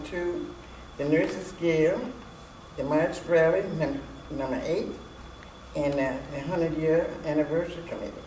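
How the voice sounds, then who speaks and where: A woman's fairly low voice at a moderate pace, with noticeable background noise and audible room echo. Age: 80s+. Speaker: church elder member. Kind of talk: interview. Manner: halting.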